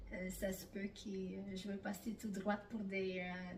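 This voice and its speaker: With audible room echo, a woman speaks fairly slowly in a somewhat breathy, medium-pitched voice with monotone, flat intonation. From Italy. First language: Italian (speaking French). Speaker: immigrant interviewee, bank employee. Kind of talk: interview. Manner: hesitant, many fillers.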